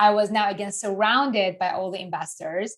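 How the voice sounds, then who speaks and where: The speaker is a woman with a medium pitch. She keeps a moderate pace. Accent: non-native. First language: not English. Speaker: investing educator. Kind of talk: interview. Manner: animated.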